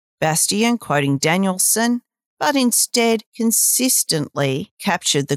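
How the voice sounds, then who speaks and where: With an Australian accent, a woman speaks at a fairly slow pace and a medium pitch, making very wide pitch swings in a very clean, dry, close recording with no echo and a silent background. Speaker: journalist podcast host. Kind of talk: reading aloud.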